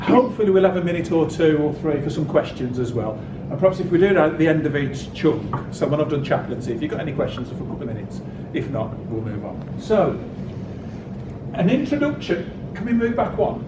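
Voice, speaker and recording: Very fast and full of very wide pitch swings, a man's fairly high voice comes through noticeable background noise and audible room echo. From West Midlands, England (Wolverhampton area). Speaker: university chaplain and Anglican priest. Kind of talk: lecture. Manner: slurred.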